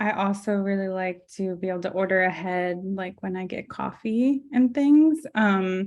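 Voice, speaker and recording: A soft-spoken woman talks at a moderate pace with hardly any pauses, medium pitch and ordinary pitch variation, in a quiet background. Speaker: graphic designer with multiple sclerosis. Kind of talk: interview conversation. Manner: hesitant, many fillers.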